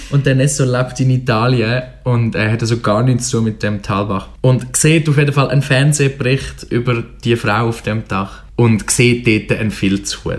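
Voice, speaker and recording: Barely pausing, a man with a Swiss accent speaks at a moderate pace in a somewhat breathy voice with fairly even intonation. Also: medium pitch for a man. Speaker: literature radio show co-host. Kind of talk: book discussion. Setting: radio studio.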